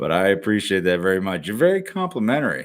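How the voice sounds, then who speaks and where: In an American accent, a man speaks with a very deep, low pitch and a relaxed tone. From Ohio, Cleveland area. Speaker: YouTube reaction streamer. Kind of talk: casual live stream chat. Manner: relaxed, conversational.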